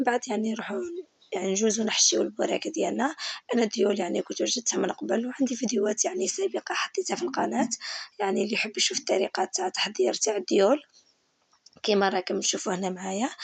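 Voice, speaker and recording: Lively intonation and a fairly quick pace in an Algerian accent. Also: woman, fairly high pitch for a woman. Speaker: cooking channel host. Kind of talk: cooking tutorial. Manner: halting, with filler words.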